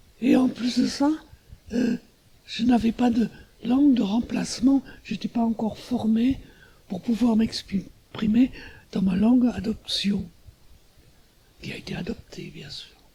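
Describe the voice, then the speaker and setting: A man speaks at a very slow pace with an extremely high pitch and ordinary pitch variation. Long, frequent pauses and big swings in loudness mark his delivery. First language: German (speaking French). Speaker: artist. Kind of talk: interview. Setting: artist's studio. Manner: halting.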